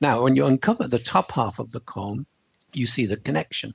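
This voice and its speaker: Here a man speaks with lively intonation. His medium-pitched voice is somewhat breathy. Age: 70s. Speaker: author and speaker. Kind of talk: interview.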